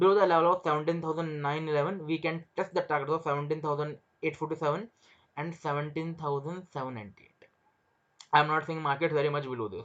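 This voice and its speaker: The speaker has an Indian accent. The delivery moves at a very fast pace. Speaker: stock market trader and trading educator. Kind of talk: market analysis tutorial. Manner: repetitive, restarts phrases.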